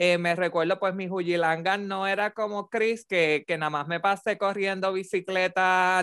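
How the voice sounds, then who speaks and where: The recording is dry and close with no echo, catching a man with a high voice speaking at a moderate pace. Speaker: podcast co-host. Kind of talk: casual chat. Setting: remote recording. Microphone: new microphone with headphones.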